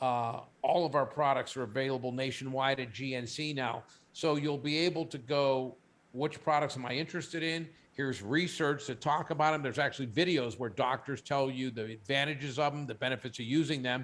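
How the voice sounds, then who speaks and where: A very clean recording with a silent background captures a man with a fairly high pitch. He has an ordinary speaking voice with fairly even intonation. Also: fairly quick pace. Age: 60s. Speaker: company CEO. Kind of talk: interview; product pitch.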